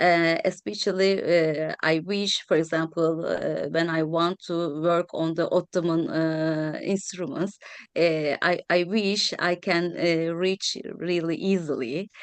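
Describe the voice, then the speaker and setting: A woman with a Turkish accent, fairly low pitch, very slow pace, hardly any pauses and fairly even intonation, against a quiet background. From Turkey. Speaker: historian of science. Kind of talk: round table discussion. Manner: halting, many fillers.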